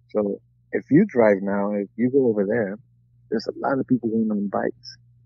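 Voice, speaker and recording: With a Spanish accent, a man talks at a fairly quick pace. His fairly low voice keeps a fairly even intonation. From Mexico, Guanajuato. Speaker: retired boxer. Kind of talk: interview. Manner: halting.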